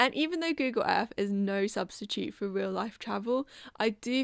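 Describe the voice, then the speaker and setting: On a very clean recording with a silent background, a woman with a British accent speaks at a fairly high pitch. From UK. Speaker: artist, video creator. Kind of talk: casual vlog narration.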